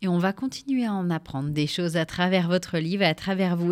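Recorded very cleanly with a silent background, a woman at medium pitch has an ordinary speaking voice. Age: 30s. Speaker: radio host. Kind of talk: radio interview. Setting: studio.

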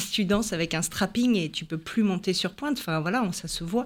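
An ordinary speaking voice with lively intonation moves at a moderate pace in a very clean recording with a silent background. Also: woman. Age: 50s. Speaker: health coach and former ballet dancer. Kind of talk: radio interview.

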